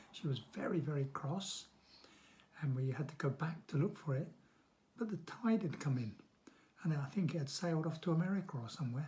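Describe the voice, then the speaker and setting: With a southern English accent and a dark, mellow tone, the speaker talks at a fairly quick pace with ordinary pitch variation and long, frequent pauses. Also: man, fairly high pitch for a man. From London, England. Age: 70s. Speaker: grandfather interviewed about childhood. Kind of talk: interview answers to children.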